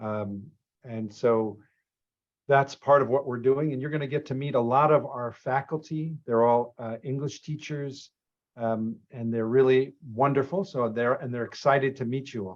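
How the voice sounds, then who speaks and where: A man with an unremarkable speaking voice and an American accent, medium pitch, ordinary pitch variation, a moderate pace and big swings in loudness. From Boston, Massachusetts. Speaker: program director and lecturer. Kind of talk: orientation introduction. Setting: video call.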